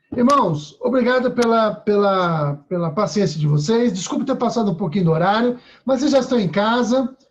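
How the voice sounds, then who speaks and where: A man with a high pitch talks with lively intonation. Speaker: church teacher. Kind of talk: online class. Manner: fast.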